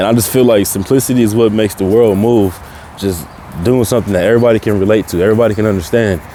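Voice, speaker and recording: Against noticeable background noise, a man with a fairly low pitch talks at a very fast pace with fairly even intonation. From Tacoma, Washington, US Pacific Northwest. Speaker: podcast host. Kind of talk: casual monologue. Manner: casual, informal.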